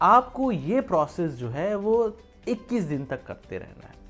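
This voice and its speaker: A man's pitch swings very widely over music in the background. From Uttar Pradesh, India. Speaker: vlogger. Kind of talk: motivational talk to camera. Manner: casual, conversational.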